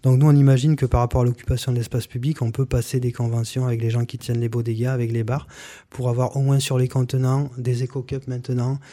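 A man talks fairly quickly at a medium pitch, his voice dark, mellow and somewhat breathy. His intonation is monotone and flat, and the recording is very clean with a silent background. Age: 40s. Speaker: municipal election candidate. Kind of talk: radio interview. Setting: radio studio, broadcast live. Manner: halting, with many repetitions.

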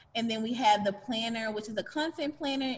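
Over noticeable background noise, a woman speaks with a fairly high pitch and fairly even intonation. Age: 20s. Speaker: marketing entrepreneur. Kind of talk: interview conversation.

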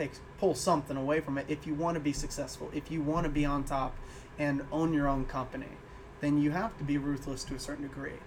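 A man with an American accent talks at a fairly quick pace in a normal speaking voice, pitched fairly high. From Illinois. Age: 20s. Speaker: musician. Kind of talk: casual chat.

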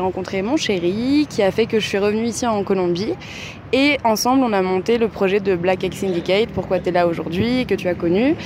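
A woman's medium-pitched voice with lively intonation at a moderate pace, against noticeable background noise. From France, Paris. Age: 20s. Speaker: bar and tattoo studio owner. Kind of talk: interview.

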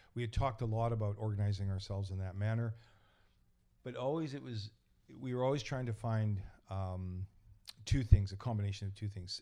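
On a very clean recording with a silent background, a man with a Canadian accent and a dark, mellow tone talks fairly quickly at a fairly low pitch, with ordinary pitch variation and long, frequent pauses. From Canada, East Vancouver. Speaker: church elder and carpenter. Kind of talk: casual interview. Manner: halting.

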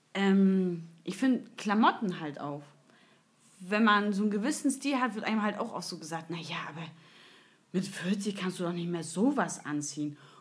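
Her voice is somewhat breathy, with a medium pitch and lively intonation. The woman speaks at a moderate pace. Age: 30s. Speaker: podcast host. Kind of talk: casual chat.

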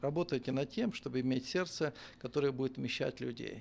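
With ordinary pitch variation, an unremarkable speaking voice keeps to a moderate pace. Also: man. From western Ukraine. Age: 50s. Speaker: bishop and pastor. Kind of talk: casual interview chat.

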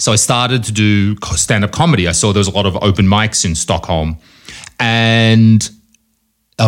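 A man's fairly low voice at a fairly slow pace. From Australia. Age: 30s. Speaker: comedy event organizer. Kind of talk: casual chat.

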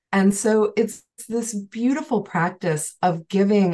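A woman with an American accent, somewhat breathy, with ordinary pitch variation. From Chicago area. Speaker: Ayurvedic practitioner. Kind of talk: online panel conversation.

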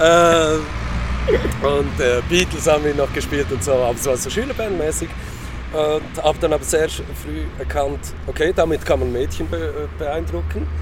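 A man at a fairly slow pace, with audible room echo and music in the background. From Switzerland, Lucerne. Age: 30s. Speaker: punk musician and substitute teacher. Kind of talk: interview.

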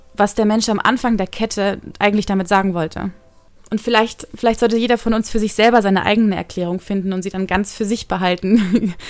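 Music plays in the background as a woman of medium pitch speaks. Her pace is fairly quick and her intonation monotone and flat. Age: 20s. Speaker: podcaster. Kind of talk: personal monologue. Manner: fast.

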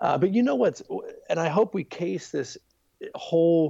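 With an American accent, a man talks fairly quickly in a dark, mellow tone with ordinary pitch variation. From US, Baltimore, Maryland. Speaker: youth ministry leader. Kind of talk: podcast interview.

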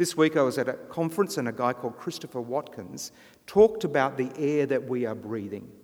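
Lively in intonation, a man with an ordinary speaking voice talks at a fairly quick pace and medium pitch. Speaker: guest preacher. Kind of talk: sermon. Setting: church.

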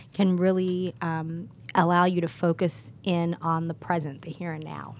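A plain, everyday voice keeps a moderate pace. Its intonation is fairly even. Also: woman. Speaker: producer. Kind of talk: news segment.

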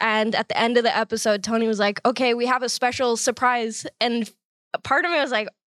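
The recording is dry and close with no echo as a woman talks fairly quickly in a normal speaking voice. Her fairly high pitch shows ordinary variation, and her loudness stays very even. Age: 20s. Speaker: comedian. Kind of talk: casual chat. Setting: studio.

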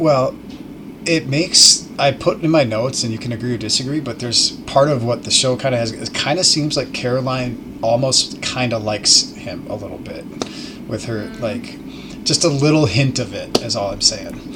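A man with a medium pitch keeps a moderate pace, his pitch varying in an ordinary way, while noticeable background noise carries on behind him. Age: 30s. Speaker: podcast guest, improv comedian. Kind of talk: casual chat.

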